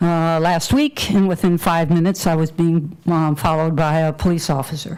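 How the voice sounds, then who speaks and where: At a moderate pace, a woman talks with a Virginia accent in a fairly low pitch. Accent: US Southern (Virginia). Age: 70s. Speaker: public commenter. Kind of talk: public comment at a county meeting. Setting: public meeting hall with audience.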